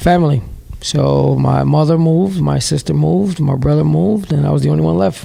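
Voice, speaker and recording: Over noticeable background noise, a man with a New York accent talks at a fairly quick pace. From New York City, Bronx. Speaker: CEO of a training school, paramedic. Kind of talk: interview. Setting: at his school building.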